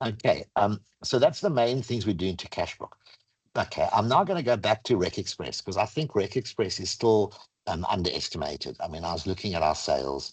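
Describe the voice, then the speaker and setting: Over a quiet background, a man with a fairly low pitch speaks somewhat breathily with lively intonation. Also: fairly quick pace. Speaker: software product presenter; presenter. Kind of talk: webinar product demo. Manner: fast. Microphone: video call.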